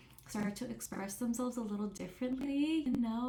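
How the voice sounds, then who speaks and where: A woman is speaking at a moderate pace. She has a non-native accent. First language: not English. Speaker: therapist. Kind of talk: interview monologue. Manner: halting, many fillers and restarts.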